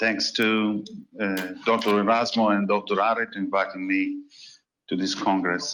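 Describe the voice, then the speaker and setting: With a bright, sharp tone and a fairly low pitch, a man speaks at a fairly slow pace in a monotone, flat intonation. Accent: Italian. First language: Italian. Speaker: hospital administrator. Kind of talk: reading aloud a talk.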